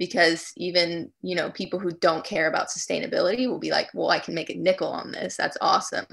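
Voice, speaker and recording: Fairly quick speech from a woman over a quiet background. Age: young. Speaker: recycling company founder. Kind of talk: interview. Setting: video call.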